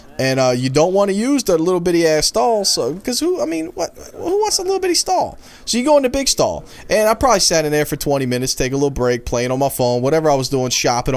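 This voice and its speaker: Very fast speech from a man comes through noticeable background noise. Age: 20s. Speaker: gaming youtuber and salesman. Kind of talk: gameplay commentary. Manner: casual.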